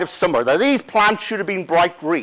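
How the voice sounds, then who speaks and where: A man talks with an Irish accent. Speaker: plant pathologist, conference speaker. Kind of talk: conference talk.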